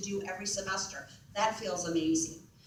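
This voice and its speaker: A woman is speaking in a space with audible room echo. Noticeable background noise is present too. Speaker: university academic advisor. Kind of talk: presentation to students. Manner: fast.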